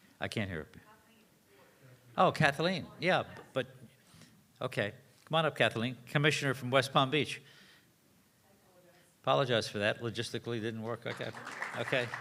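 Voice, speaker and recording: A man talks at a fairly quick pace with long, frequent pauses. His medium-pitched voice has a bright, sharp tone and ordinary pitch variation. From Florida. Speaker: forum moderator. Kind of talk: event moderation.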